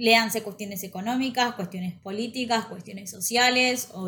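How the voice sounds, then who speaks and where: A fairly high-pitched woman with a Rioplatense accent, fairly quick in pace and fairly even in intonation. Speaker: podcast co-host. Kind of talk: casual chat.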